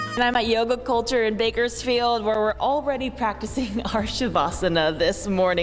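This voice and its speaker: Music plays in the background. The tone is energetic and the pace moderate. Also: woman. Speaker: TV journalist, anchor and weather forecaster. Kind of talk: TV news reporting.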